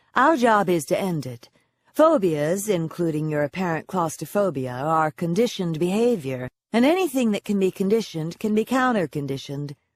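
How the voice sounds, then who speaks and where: In a hoarse, put-on character voice, the speaker talks at a middle pitch and a fairly quick pace. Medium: read story. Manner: warm, teasing, confident.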